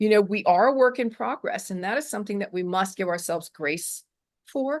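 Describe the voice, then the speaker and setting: Against a quiet background, a woman speaks fairly quickly at a medium pitch with lively intonation. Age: 60s. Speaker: author and self-esteem coach. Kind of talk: interview. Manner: animated.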